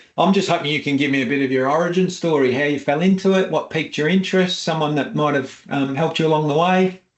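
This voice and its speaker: A man with an Australian accent, a fairly high pitch and ordinary pitch variation, talking at a very fast pace with very even loudness. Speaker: financial advice podcast host. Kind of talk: interview.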